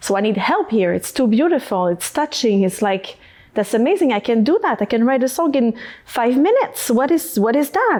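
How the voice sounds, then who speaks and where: In a French accent, a woman with a high pitch and very wide pitch swings speaks at a moderate pace. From Quebec, Canada. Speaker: singer-songwriter. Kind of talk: podcast interview. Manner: halting, searching for words.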